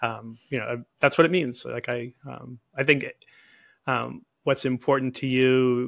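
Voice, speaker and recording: A man's voice with a dry, close sound, no echo, and a very clean recording with a silent background. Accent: American. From US Northeast, Boston area. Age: 60s. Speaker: naturopathic physician. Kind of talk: interview.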